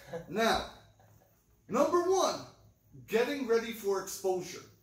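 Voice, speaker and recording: Speaking at a fairly slow pace, a man with an extremely high pitch swings very widely up and down, and the room echo is audible. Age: 40s. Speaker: record store video host. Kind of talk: casual chat. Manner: animated. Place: shop. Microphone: camera far.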